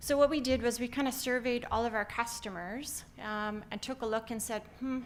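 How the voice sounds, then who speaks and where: A woman with a Canadian accent speaks at a moderate pace, her pitch varying in an ordinary way. She has an unremarkable speaking voice. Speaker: company founder and CEO. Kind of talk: conference talk. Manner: frequent filler words (um).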